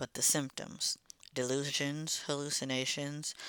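A man speaks at a fairly slow pace in a fairly high pitch with a bright, sharp tone and monotone, flat intonation. The recording is very clean with a silent background and a dry, close sound with no echo. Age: 30s. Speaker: mental health podcaster. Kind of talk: casual monologue.

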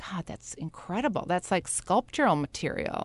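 A woman with an American accent speaks at a moderate pace in a fairly low voice. The sound is dry and close with no echo, over a quiet background. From Wisconsin, near Milwaukee. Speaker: fashion retail executive. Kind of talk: interview. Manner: halting, many repetitions.

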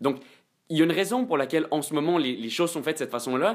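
A man at a fairly high pitch, very fast, with very wide pitch swings, on a very clean recording with a silent background. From Quebec. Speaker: student. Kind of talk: casual debate.

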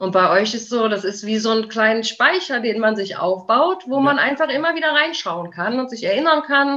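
Over noticeable background noise, a woman talks at a moderate pace with hardly any pauses, a fairly high pitch and lively intonation. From Aachen, western Germany. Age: 30s. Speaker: dog owner. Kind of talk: interview.

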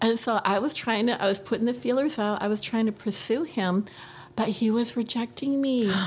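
A woman's somewhat breathy, fairly high voice keeps very even loudness and ordinary pitch variation at a moderate pace. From New Hampshire. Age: 50s. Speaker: nurse practitioner. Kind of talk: casual interview.

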